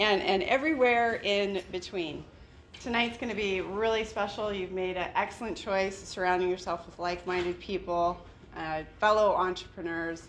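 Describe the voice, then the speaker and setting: At a moderate pace, a woman talks in a normal speaking voice, medium in pitch with ordinary pitch variation. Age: 50s. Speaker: investor group founder and event host. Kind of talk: event welcome speech. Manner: casual, chatty with filler words.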